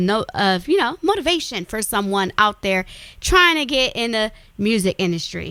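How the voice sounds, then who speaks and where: An animated speaker with an Alabama accent talks at a fairly slow pace with lively intonation. The recording is very clean, with a silent background. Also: woman. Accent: Southern US (Alabama). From US South. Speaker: radio talk show host. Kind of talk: show outro; casual interview.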